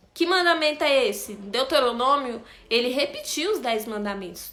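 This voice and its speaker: Amid audible room echo, a woman with a high pitch speaks in a raised, projected voice at a moderate pace. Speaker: bible study teacher. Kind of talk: bible study lesson.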